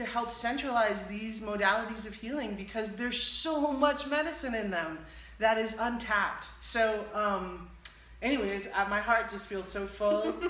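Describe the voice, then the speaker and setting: Noticeable background noise and audible room echo surround a woman speaking at a moderate pace with a fairly high pitch. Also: ordinary pitch variation. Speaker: live-stream show host and healing practitioner. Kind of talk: casual interview chat wrap-up. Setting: live stream broadcast. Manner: loud, like shouting.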